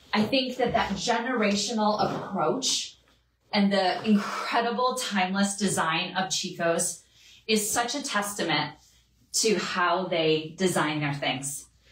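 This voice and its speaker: A woman speaks fairly slowly with lively intonation. The room echo is audible, and there is light background noise. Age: 40s. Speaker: fashion stylist livestream host. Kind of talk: live shopping stream. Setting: at home. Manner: animated. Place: home room.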